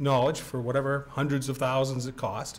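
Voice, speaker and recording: Speaking with an American accent, a man uses a fairly high pitch and a somewhat breathy voice. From Maine, US (Orono). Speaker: building owner speaking at public comment. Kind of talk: public comment at town meeting. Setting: town planning board meeting, at a mic.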